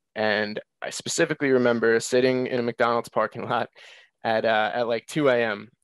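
An unremarkable speaking voice moves at a moderate pace with fairly even intonation in a dry, close sound with no echo. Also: man, quiet background. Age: 20s. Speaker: weight loss guest, aspiring health coach. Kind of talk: casual interview.

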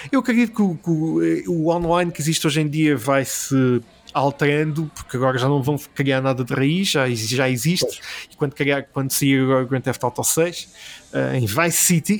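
Lively intonation marks a man talking at a moderate pace with fairly high pitch. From Portugal, Alentejo. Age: 30s. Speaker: gaming and film website founder. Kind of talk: casual interview. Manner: hesitant, many fillers and repetitions.

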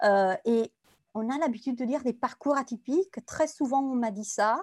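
Recorded very clean against a silent background, the sound is dry and close, with no echo. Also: woman. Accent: Italian. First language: Italian (speaking French). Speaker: compliance consultant. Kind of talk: interview.

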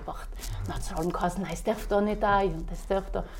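There is audible room echo and noticeable background noise as a woman speaks at a fairly quick pace. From South Tyrol, Ulten valley. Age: 30s. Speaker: innkeeper and horse breeder. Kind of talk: casual interview. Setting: at her inn.

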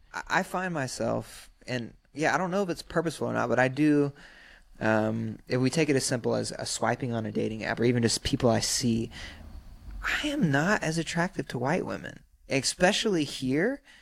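An ordinary speaking voice with lively intonation at a fairly quick pace, on a very clean recording with a silent background. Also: man, medium pitch for a man. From US South, South Carolina (Sumter). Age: 30s. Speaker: rapper and actor. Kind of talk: casual chat. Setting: studio.

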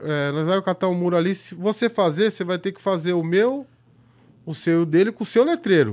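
A man speaks fairly quickly at a high pitch with ordinary pitch variation and big swings in loudness. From São Paulo, west zone periphery (Itapevi). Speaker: graffiti artist and filmmaker. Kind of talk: casual chat.

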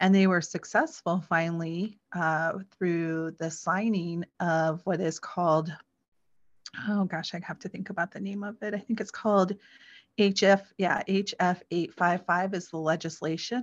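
In a plain, everyday voice, a woman with an American accent and fairly low pitch speaks fairly slowly with fairly even intonation against a quiet background. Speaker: adoptee, blogger and podcaster. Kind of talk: interview.

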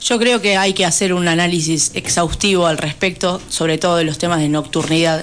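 Over noticeable background noise, a woman with a fairly low pitch speaks with hardly any pauses, fairly even intonation and very even loudness. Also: moderate pace. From Argentina, Buenos Aires province (Pehuajó). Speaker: city council candidate. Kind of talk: radio interview.

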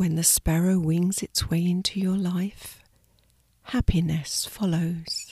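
Here a woman talks at a very slow pace in a fairly low pitch. Her tone is calm and gentle, with monotone, flat intonation. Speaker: meditation guide. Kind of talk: guided sleep meditation. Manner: slow, soft-spoken and soothing; calm, gentle, with long pauses.

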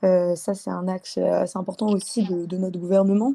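The speaker is a woman with a dark, mellow tone. Her intonation stays fairly even. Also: very clean recording, silent background. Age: 20s. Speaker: engineering student. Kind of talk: interview.

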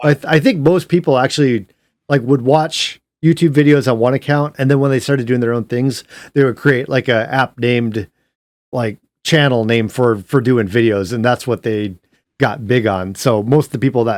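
The sound is dry and close with no echo, and the recording is very clean with a silent background. A man with an ordinary speaking voice talks at a medium pitch and a moderate pace. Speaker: podcast host. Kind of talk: casual chat. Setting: live stream.

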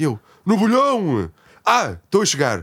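With very wide pitch swings and a high pitch, a man speaks at a very slow pace in a very clean recording with a silent background. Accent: Lisbon. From Portugal, Lisbon. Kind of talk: casual chat.

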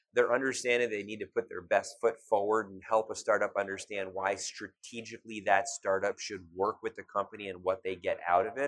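Using an ordinary speaking voice, a man with an American accent talks at a fairly quick pace with hardly any pauses and a fairly low pitch. His intonation is fairly even, his loudness swings widely, and the sound is dry and close with no echo. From US Midwest, Cleveland, Ohio. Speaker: startup ecosystem investor. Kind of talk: interview. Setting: live at a startup expo.

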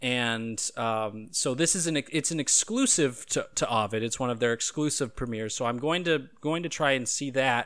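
A man talks at a moderate pace and medium pitch, his tone bright and sharp with ordinary pitch variation. The recording is very clean with a silent background. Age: 20s. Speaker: podcast host. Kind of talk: casual chat.

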